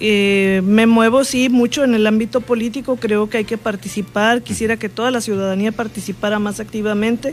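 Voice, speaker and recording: This woman has an unremarkable speaking voice, fairly high in pitch, with fairly even intonation. She keeps a moderate pace with hardly any pauses. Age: 60s. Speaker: politician. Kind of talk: interview. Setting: studio.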